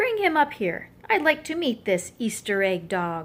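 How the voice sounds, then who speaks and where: A woman performs a put-on character voice with a fairly high pitch. Her pitch swings very widely. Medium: read story. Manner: public-speaking, genial.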